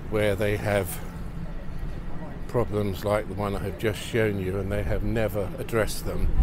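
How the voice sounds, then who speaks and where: Speech at a moderate pace with long, frequent pauses comes through dry with no echo over noticeable background noise. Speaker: local city videographer. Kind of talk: casual walking-tour commentary. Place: street.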